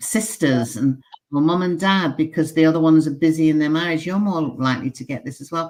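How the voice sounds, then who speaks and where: With a British accent, a woman talks at a fairly quick pace in a very deep, low pitch, using ordinary pitch variation and big swings in loudness. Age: 70s. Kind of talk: casual chat.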